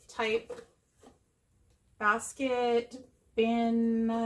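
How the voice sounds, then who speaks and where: A woman speaks with a high pitch. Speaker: YouTube haul vlogger. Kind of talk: casual show-and-tell haul video. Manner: chatty.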